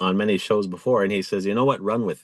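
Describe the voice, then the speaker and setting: A man's fairly quick speech plays out over a quiet background. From Rocky Boy, Montana. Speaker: MC and podcaster. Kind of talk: interview.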